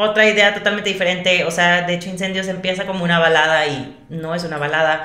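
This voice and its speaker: Audible room echo surrounds a woman speaking with a Monterrey accent and ordinary pitch variation. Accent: Monterrey (regio) Mexican Spanish. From Mexico, Monterrey. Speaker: vocal coach and singer-songwriter. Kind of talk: interview.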